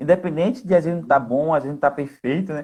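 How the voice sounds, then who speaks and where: The speaker is a man. His pitch is fairly high. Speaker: live co-host. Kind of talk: casual live chat. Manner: fast.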